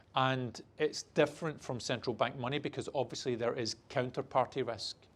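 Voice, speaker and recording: At a moderate pace, a man with a plain, everyday voice talks at medium pitch with fairly even intonation. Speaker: banking executive giving keynote. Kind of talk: keynote talk.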